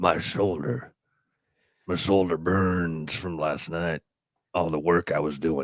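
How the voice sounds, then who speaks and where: A man puts on a character voice that is raspy and very deep, speaking at a fairly slow pace with fairly even intonation and long, frequent pauses. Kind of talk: deeper and more macho than a whiny tone. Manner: manly, proud.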